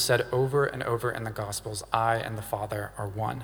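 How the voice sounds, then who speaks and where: With audible room echo, a man of medium pitch talks at a moderate pace with fairly even intonation. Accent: Southern US. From US South, Louisiana. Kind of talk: sermon.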